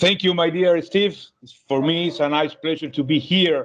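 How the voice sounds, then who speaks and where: Noticeable background noise runs behind a man's speech. He talks at a moderate pace. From eastern Cuba. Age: 30s. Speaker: water polo referee and coach. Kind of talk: interview.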